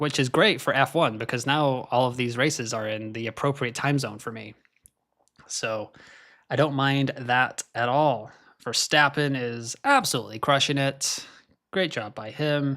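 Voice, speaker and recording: Someone with an American accent speaks at a fairly slow pace in a bright, sharp tone, with long, frequent pauses. The recording is very clean, with a silent background. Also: man. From Scotland, then US from age 14. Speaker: F1 fantasy streamer. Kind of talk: live commentary; casual chat. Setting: live stream. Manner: animated.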